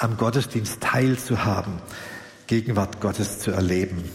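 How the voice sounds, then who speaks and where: Amid noticeable background noise and audible room echo, a man speaks at a fairly low pitch with ordinary pitch variation. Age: 60s. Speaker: pastor. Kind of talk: sermon. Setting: church service, livestreamed.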